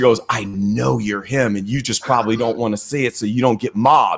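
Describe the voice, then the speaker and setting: A man speaks in a Midwestern US accent. His pace is moderate, and the recording is very clean with a silent background. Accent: US Midwest. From Missouri, US Midwest. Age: 50s. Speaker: crypto investor and technical analyst. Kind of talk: casual interview. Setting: live stream.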